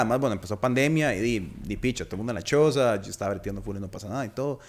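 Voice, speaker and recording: A man talks with lively intonation. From Costa Rica. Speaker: podcast host. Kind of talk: casual chat. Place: studio. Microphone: studio mic.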